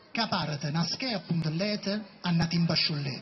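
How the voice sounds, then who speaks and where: Over music in the background, a man with a southern Italian accent talks in a high pitch with ordinary pitch variation. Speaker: poetry performer. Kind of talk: poetry reading. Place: stage. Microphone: pa.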